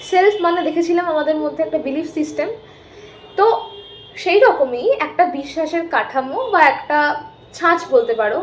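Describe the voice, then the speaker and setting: A woman's extremely high, lively voice against noticeable background noise. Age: 20s. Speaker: psychology student and self-help YouTuber. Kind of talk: educational talk. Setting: rented room at home.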